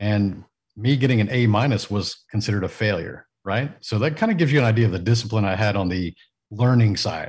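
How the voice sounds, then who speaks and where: Against a quiet background, a man with a fairly low pitch talks at a fairly quick pace in a somewhat breathy voice. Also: ordinary pitch variation. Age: 40s. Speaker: business mentor and executive coach. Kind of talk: casual interview. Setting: video call from home studio.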